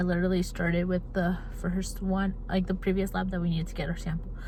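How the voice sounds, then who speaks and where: A woman speaks in an animated, bright, sharp tone. There is audible room echo. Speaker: college student vlogger. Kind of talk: casual vlog. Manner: fast.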